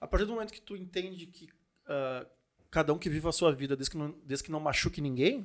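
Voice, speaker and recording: At a very fast pace, a man with a fairly high pitch talks with ordinary pitch variation and big swings in loudness. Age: 40s. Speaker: podcast host and entrepreneur. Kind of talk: casual chat.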